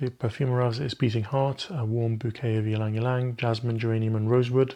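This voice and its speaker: Somewhat breathy, a man talks at a very fast pace with a medium pitch. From Egypt (Cairo). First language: Arabic. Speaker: perfume reviewer. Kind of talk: product review, casual talk to camera. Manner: casual, conversational.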